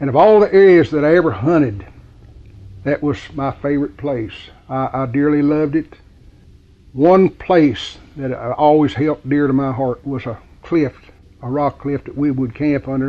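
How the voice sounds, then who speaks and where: Speaking at a moderate speed, a man has a fairly high-pitched voice. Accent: Appalachian. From West Virginia. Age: 70s. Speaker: local resident. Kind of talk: reminiscence interview. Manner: halting.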